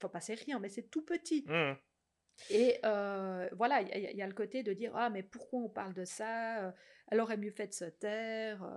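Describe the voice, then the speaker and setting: A woman speaks at a fairly slow pace and a fairly high pitch, with ordinary pitch variation. The recording is very clean, with a silent background. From Switzerland, French-speaking, outside Vaud. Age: 40s. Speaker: social psychology researcher and cantonal MP. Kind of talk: podcast interview. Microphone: too far from the mic at first.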